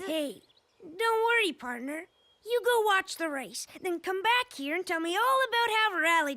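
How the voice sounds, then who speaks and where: An extremely high-pitched, cartoonish character voice moves along at a moderate pace. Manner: folksy, friendly.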